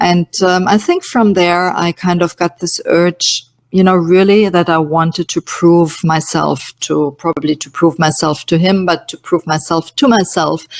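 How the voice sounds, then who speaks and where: In a German accent, a woman talks at a fairly slow pace. Her pitch is fairly low and her intonation fairly even. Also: dry, close sound with no echo. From Germany, Munich. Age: 50s. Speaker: nutrition coach. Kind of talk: webinar presentation. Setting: online webinar. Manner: hesitant, many fillers.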